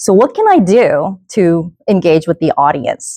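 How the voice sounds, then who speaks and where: With a Korean accent, this voice has a dark, mellow tone and a fairly slow pace, recorded with a dry, close sound with no echo over a quiet background. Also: woman. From South Korea. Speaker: event host and keynote speaker. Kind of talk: keynote speech. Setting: stage with audience at a workshop.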